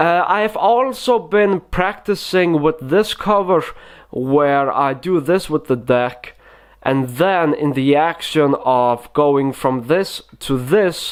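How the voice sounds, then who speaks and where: Very slow speech in a non-native accent. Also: man. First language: not English. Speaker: magic tutorial youtuber. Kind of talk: tutorial. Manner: hesitant, many fillers.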